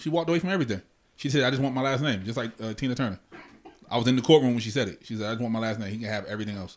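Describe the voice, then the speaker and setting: A man at a very fast pace, medium in pitch, with ordinary pitch variation. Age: 40s. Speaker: podcast host. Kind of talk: casual chat.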